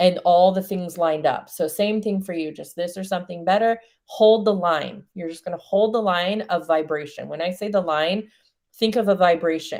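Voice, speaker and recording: An unremarkable speaking voice from a woman with an American accent, medium in pitch and moderate in pace, with fairly even intonation and a very clean recording over a silent background. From New Zealand. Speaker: spiritual coach. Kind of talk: coaching session.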